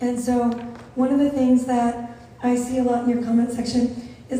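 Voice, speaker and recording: With an American accent, a woman speaks in a high pitch with flat, monotone intonation at a moderate pace, amid audible room echo and noticeable background noise. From Las Vegas, US. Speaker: content creator and moderator. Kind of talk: onstage interview.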